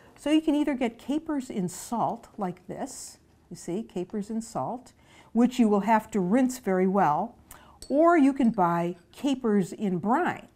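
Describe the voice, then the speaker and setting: This woman has a dark, mellow tone. She talks at a fairly slow pace. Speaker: cooking show host. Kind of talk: tutorial. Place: kitchen. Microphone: lapel.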